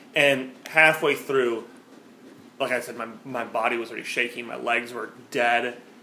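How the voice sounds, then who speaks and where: Amid noticeable background noise and audible room echo, a man of medium pitch speaks at a moderate pace with monotone, flat intonation and big swings in loudness. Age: 20s. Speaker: podcast co-host. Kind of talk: casual chat.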